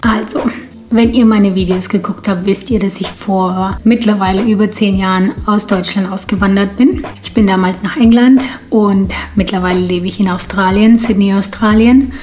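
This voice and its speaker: At a moderate pace, a woman talks in a medium pitch with fairly even intonation over noticeable background noise. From Ukraine or Russia, grew up in Germany from age four. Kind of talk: casual talk to camera.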